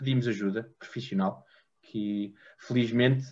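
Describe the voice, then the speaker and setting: A man speaks in a somewhat breathy voice. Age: 20s. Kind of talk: interview. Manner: halting.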